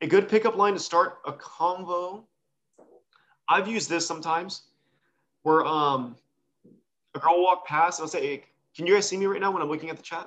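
This man has an American accent and a high pitch for a man, with fairly even intonation. He keeps a moderate pace but takes long, frequent pauses. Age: 30s. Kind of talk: casual chat.

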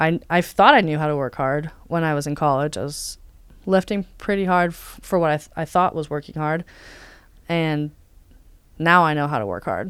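A woman with a Californian accent speaks at a moderate pace in a very deep, low pitch, with ordinary pitch variation. She takes long, frequent pauses, and the recording is very clean with a silent background. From Southern California, South Bay. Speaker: athlete. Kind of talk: interview.

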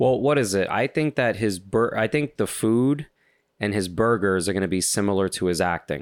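A man with a New York accent talks at a moderate pace in a fairly low voice, his tone animated and his intonation lively, at very even loudness on a very clean recording with a silent background. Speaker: comedian, podcast co-host. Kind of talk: casual chat.

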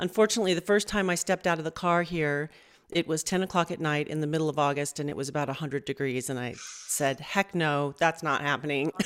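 Talking at a very fast pace, a woman with an American accent uses a very deep, low pitch with ordinary pitch variation. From Southern California. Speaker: session singer and voice teacher. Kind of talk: interview.

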